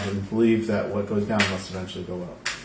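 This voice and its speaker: A man mumbling at a fairly quick pace, with audible room echo and noticeable background noise. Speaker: tarot reader. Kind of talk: live-streamed tarot reading. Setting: live stream. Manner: casual, conversational.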